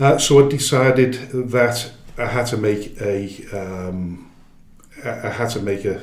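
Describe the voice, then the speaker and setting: Amid noticeable background noise and audible room echo, a man speaks at a medium pitch and fairly slow pace, with ordinary pitch variation and long, frequent pauses. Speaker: football club chairman. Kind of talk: interview. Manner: halting, many fillers and restarts.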